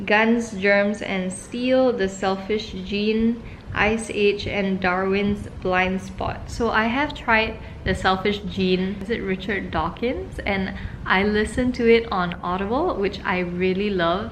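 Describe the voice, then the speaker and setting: Amid noticeable background noise and audible room echo, a woman speaks very slowly at a medium pitch. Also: fairly even intonation. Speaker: vlogger. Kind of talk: casual vlog talk to camera.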